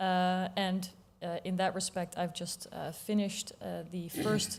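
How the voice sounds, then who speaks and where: Her intonation monotone and flat, a woman with a Dutch accent speaks at a medium pitch. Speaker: politician. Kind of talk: panel discussion.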